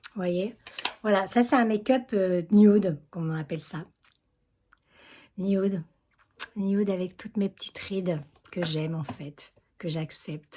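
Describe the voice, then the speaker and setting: A woman's somewhat breathy, dark, mellow voice at medium pitch and fairly slow pace, with ordinary pitch variation, big swings in loudness, and long, frequent pauses. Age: 60s. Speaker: beauty vlogger. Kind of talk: makeup tutorial. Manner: casual, chatty.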